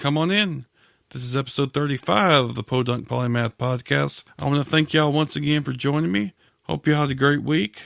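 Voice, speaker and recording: With a Southern US accent, a man talks at a fairly quick pace and a fairly high pitch with ordinary pitch variation, the sound dry and close with no echo on a very clean recording against a silent background. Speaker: podcast host. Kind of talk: podcast intro monologue.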